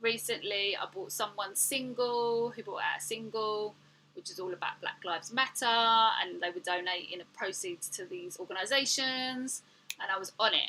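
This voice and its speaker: A woman with a slight cockney accent speaks at a fairly high pitch in a bright, sharp tone with lively intonation. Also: moderate pace. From England. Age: 40s. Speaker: artist and art teacher. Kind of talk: livestream chat while painting. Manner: animated.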